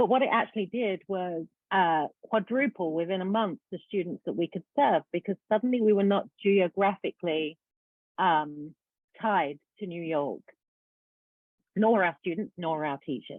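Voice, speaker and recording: With a British accent, the speaker talks at a moderate pace using lively intonation. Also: woman, medium pitch for a woman. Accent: British accent, noticeable. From UK. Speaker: education nonprofit founder. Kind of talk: presentation.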